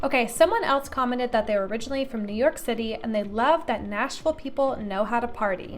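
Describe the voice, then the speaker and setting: Over music in the background, a woman talks at a very fast pace in a high pitch with ordinary pitch variation and hardly any pauses. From Tennessee. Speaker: real estate agent and YouTuber. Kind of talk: vlog commentary reading comments.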